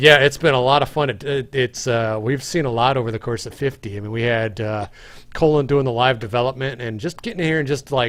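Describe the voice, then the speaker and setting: With an ordinary speaking voice, a man of medium pitch talks at a fairly quick pace with ordinary pitch variation against a quiet background. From Canadian prairies. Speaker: game developer, stream host. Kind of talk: casual chat. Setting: live stream.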